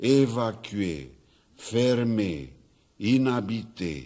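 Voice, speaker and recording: Lively intonation runs through a man's dark, mellow voice. He speaks at a very slow pace. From Romania. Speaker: poet. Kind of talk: poetry reading. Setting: studio. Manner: stammering.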